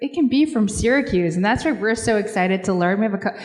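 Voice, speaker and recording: A woman with an American accent talks at a fairly quick pace, her fairly high voice carrying lively intonation. Noticeable background noise is present. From Seattle. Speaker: corporate philanthropy executive. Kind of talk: panel discussion.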